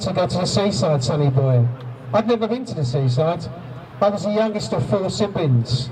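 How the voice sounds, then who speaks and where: A man talks at a moderate pace with very wide pitch swings against noticeable background noise. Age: 60s. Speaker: abuse survivor speaking at a rally. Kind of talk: testimony.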